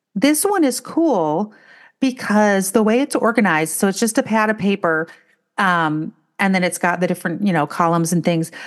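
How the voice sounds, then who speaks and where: Against a quiet background, a woman with a normal speaking voice talks at a moderate pace, medium pitch and lively intonation. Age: 50s. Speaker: podcast co-host. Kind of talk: casual chat.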